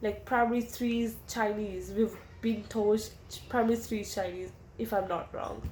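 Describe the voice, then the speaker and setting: Somewhat breathy and fairly high-pitched, a woman talks at a moderate pace in a flat monotone, with audible room echo around her. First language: Urdu. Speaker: interviewee. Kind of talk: interview answers. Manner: casual, hesitant.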